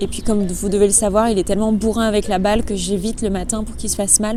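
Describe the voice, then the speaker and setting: Amid noticeable background noise and audible room echo, a woman of medium pitch speaks at a very fast pace. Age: 20s. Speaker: dog trainer and lifestyle vlogger. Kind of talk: casual vlog. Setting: outdoors.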